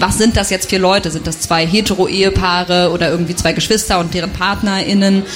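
Over noticeable background noise, a woman talks at medium pitch with ordinary pitch variation. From Thuringia, eastern Germany. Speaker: novelist. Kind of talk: reading aloud; interview.

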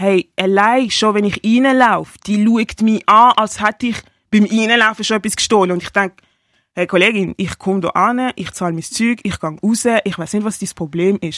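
With a normal speaking voice, a woman talks at a moderate pace and fairly high pitch with ordinary pitch variation, the recording very clean with a silent background and a dry, close sound with no echo. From Basel, Switzerland. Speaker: rapper and singer sharing experiences of racism. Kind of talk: personal testimony.

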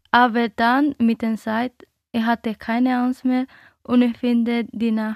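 A woman with a Dominican accent talks very slowly in a fairly high, flat monotone, the sound dry and close with no echo. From Dominican Republic. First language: Spanish (speaking German). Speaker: interviewee. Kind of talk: radio interview. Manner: halting, non-native German.

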